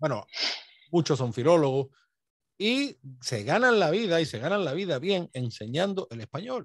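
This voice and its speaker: Pausing long and often, a man with a fairly high pitch and very wide pitch swings talks at a moderate pace over a quiet background, the sound dry with no echo. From Andalusia, Spain (Seville area); Andalusia, Spain. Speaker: YouTube history channel host. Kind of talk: conversational interview on history and language. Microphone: video call.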